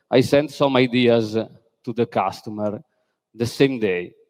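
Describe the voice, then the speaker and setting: In an Italian accent, a man speaks at a fairly slow pace with fairly even intonation. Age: 40s. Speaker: architect. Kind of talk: conference talk. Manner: halting, many fillers.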